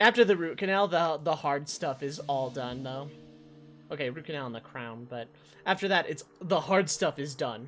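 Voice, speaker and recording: Against background music, a man with a fairly high-pitched voice speaks at a moderate pace with lively intonation and big swings in loudness. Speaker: streamer. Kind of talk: casual live stream chat. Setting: live stream with webcam. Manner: occasional stumbles, tongue caught.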